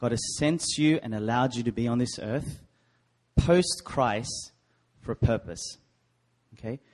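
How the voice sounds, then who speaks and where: A man with an Australian accent talks at a fairly slow pace with long, frequent pauses. His pitch is medium, with ordinary variation. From Sydney, Australia. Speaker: preacher. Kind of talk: sermon. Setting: church.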